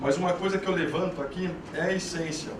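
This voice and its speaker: Speaking in a rural São Paulo accent, a man with a high voice talks at a fairly quick pace in a flat monotone. Noticeable background noise and audible room echo surround him. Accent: São Paulo countryside (caipira). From interior of São Paulo state, Brazil. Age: 20s. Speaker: startup co-founder, entrepreneur. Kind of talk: panel talk / presentation.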